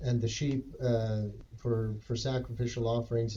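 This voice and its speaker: Speaking in a Canadian accent, a man has a medium pitch, a somewhat breathy, dark, mellow tone and monotone, flat intonation. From western Canada, Edmonton. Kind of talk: casual chat.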